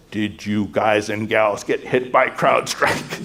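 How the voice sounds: A booming, put-on character voice from a man at medium pitch, delivered at a fairly slow pace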